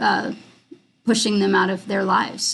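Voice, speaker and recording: With vocal fry, a woman talks in a monotone, flat intonation. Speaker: film director and screenwriter. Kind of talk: live stream Q&A. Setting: live video stream. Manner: halting, many fillers.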